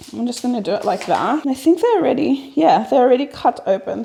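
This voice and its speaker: With lively intonation, a woman talks fairly fast against noticeable background noise. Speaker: vlogger. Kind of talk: casual vlog chat.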